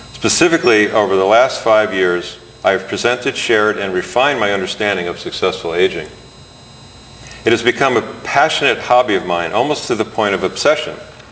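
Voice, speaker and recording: A man's fairly low voice, fairly quick and lively in intonation, over noticeable background noise. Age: 60s. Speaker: chiropractor and author. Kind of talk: reading aloud from own book.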